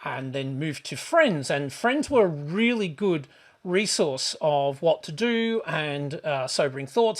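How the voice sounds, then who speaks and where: With an Australian accent, a man speaks fairly slowly in a high voice with lively intonation. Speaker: travel vlogger. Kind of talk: casual vlog monologue. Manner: hesitant, many fillers.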